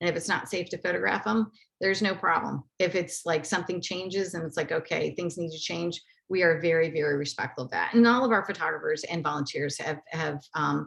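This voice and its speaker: Fairly low in pitch, a woman talks at a fairly quick pace with vocal fry and ordinary pitch variation. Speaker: nonprofit outreach manager. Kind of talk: webinar presentation. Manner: fast; many fillers.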